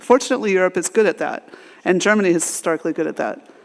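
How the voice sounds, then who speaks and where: A woman talks in an American accent with ordinary pitch variation. Noticeable background noise is present. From United States. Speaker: AI researcher and conference speaker. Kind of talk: conference talk. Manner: halting, many fillers and restarts.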